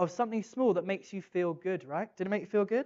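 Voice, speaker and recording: An animated tone comes through in an English accent. The pace is very fast. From England. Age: 30s. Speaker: conference speaker. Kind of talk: keynote talk. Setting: stage with audience.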